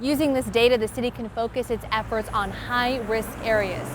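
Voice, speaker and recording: A woman with an American accent and a fairly high pitch, fairly even intonation at a moderate pace, with noticeable background noise. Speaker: TV news reporter and anchor. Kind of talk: TV news report voiceover.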